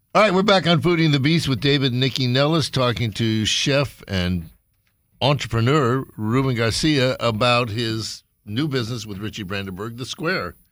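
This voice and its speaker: An ordinary speaking voice from a man, medium in pitch and moderate in pace, with lively intonation, in a very clean recording with a silent background. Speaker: radio host. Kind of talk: casual radio show chat.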